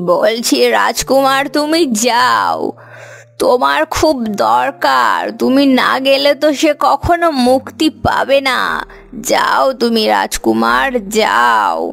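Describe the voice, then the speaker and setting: In a cartoonish character voice, a woman speaks at a very slow pace with very even loudness. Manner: shrill, commanding.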